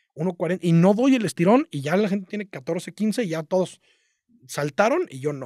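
Against a quiet background, a man speaks at a high pitch. His intonation is lively. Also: dry sound with no echo. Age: 30s. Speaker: marketing entrepreneur; podcast guest. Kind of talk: casual interview chat. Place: studio. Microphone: studio mic.

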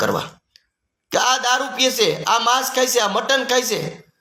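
Raised and projected, a man's voice sounds bright and sharp at an extremely high pitch, with audible room echo. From Gujarat, Rajkot district (Saurashtra). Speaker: community activist. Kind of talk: monologue to camera. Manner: animated.

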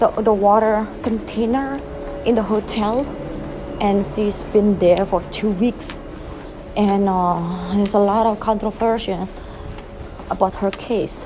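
Amid noticeable background noise, a woman speaks at a fairly slow pace with fairly even intonation and long, frequent pauses. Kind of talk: casual vlog chat. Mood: hushed, slightly spooked storytelling. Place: hall. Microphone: phone near.

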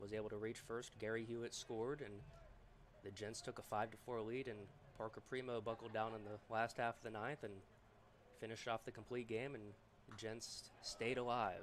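A man speaks in a normal speaking voice. He goes at a fairly quick pace. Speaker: play-by-play announcer. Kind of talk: live play-by-play baseball commentary. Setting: stadium broadcast booth. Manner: brisk, upbeat, rhythmic pitch-by-pitch calls.

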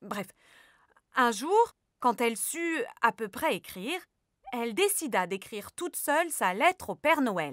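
A woman's high voice at a fairly slow pace, full of very wide pitch swings. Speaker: storyteller. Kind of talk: children's story narration, gentle and warm; children's story narration. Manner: animated, soft, storyteller pace with suspenseful slowing; addresses child listener warmly.

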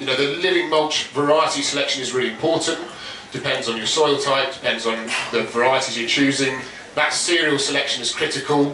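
Talking at a very fast pace with fairly even intonation, a man is heard with audible room echo and light background noise. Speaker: presenter. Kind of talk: talk presentation. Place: tent.

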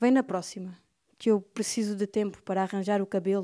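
Against a quiet background, the voice has a dark, mellow tone and flat, monotone intonation, moving at a fairly quick pace. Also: woman. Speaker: poet reading aloud. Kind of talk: poetry reading. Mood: wistful, expressive. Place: studio. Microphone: handheld.

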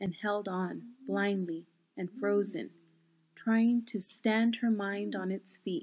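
Simply an unforced reading voice.

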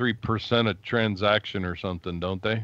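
A man with a fairly low pitch uses a normal speaking voice at a moderate pace, the sound dry and without echo. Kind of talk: casual chat. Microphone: video call.

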